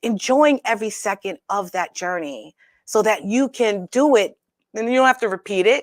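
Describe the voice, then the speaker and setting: With lively intonation and a medium pitch, a woman with an unremarkable speaking voice talks at a moderate pace, captured as a dry, close sound with no echo on a very clean recording with a silent background. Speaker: talk show host. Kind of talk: casual talk show monologue.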